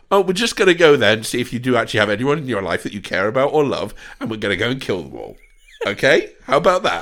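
Speaking very fast in an animated tone, a man uses a medium pitch with very wide pitch swings and vocal fry. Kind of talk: casual comedic chat with impressions. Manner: jokey, animated, does impressions.

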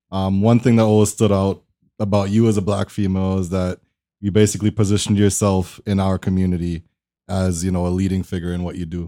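A man speaks very fast in a very deep, low pitch with a dark, mellow tone and flat, monotone intonation. The sound is dry and close, with no echo. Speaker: podcast host. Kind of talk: casual interview.

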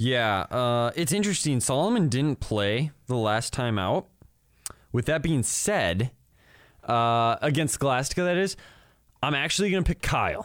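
In a very clean recording with a silent background, a man at medium pitch talks at a fairly slow pace, his loudness very even while his pitch swings very widely. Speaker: student podcast co-host and college baseball player. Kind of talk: casual sports chat. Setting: studio.

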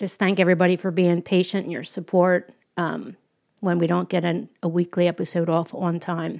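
A woman with a plain, everyday voice and fairly low pitch, on a very clean recording with a silent background. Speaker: podcast host. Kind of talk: casual podcast conversation.

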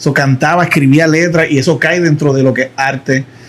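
Against noticeable background noise, a man talks at a fairly quick pace in a fairly high pitch. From Puerto Rico. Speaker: social media marketing educator. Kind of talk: casual interview chat.

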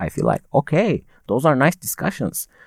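A man with a Turkish accent talks at a moderate pace. The recording sounds dry and close, with no echo. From Turkey (Konya). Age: young. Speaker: university student. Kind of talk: casual chat. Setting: studio.

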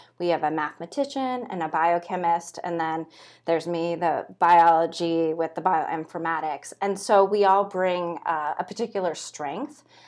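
Against a quiet background, a woman with an American accent has a normal speaking voice, fairly low in pitch, with ordinary pitch variation, a moderate pace and hardly any pauses. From California. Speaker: PhD student researcher. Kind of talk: interview.

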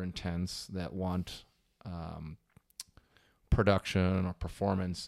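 The recording is very clean, and the background is silent. An American accent colors the speech. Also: man. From Wisconsin. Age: 30s. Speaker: swim coach. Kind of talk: casual interview.

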